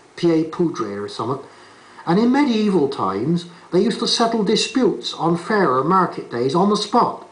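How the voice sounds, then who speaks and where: A high-pitched man with a Bristolian accent, at a fairly quick pace with lively intonation. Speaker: narrator. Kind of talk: folksy documentary narration in dialect. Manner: chatty, conversational.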